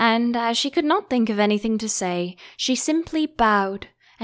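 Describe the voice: Plain reading aloud carries lively intonation throughout.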